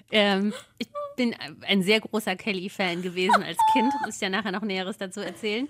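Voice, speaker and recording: A woman's medium-pitched voice with noticeable background noise. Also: fairly even intonation, fairly quick pace. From Odenwald, southern Hesse. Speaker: podcast co-host. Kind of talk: casual chat.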